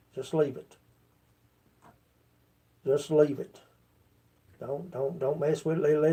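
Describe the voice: Speaking at a fairly slow pace, a man talks with a Kentucky accent. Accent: Kentucky drawl, 'tire' said as 'tower'.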